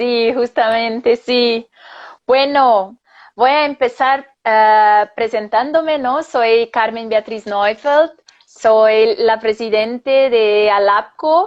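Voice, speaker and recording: Her pitch is fairly high for a woman, with ordinary variation. She speaks at a very slow pace and a very even loudness. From Brazil. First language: Portuguese (speaking Spanish). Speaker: psychologist and professor. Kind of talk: live interview. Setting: Instagram live video.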